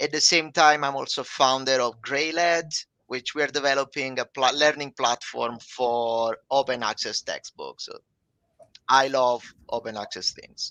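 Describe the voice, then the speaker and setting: In an Italian accent, a man speaks at a fairly high pitch and a fairly slow pace. His tone is bright and sharp, his intonation fairly even, and the sound dry and close with no echo. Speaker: language professor. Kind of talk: live webcast conversation.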